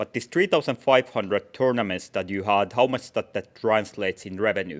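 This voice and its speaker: A man's fairly low voice at a fairly quick pace, with ordinary pitch variation, in a dry, close sound with no echo. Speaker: investor on panel. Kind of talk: Q&A questioning. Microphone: handed a microphone, was far away.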